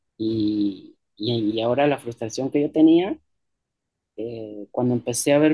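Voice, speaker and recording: A man talks in an unremarkable speaking voice at a medium pitch. It carries ordinary pitch variation. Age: 40s. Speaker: musician. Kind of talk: interview.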